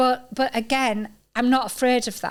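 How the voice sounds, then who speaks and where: The speaker has a northern English accent and a moderate pace. The intonation is monotone and flat. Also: woman. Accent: proper northern. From Yorkshire, northern England (York). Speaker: podcast host. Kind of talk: casual chat.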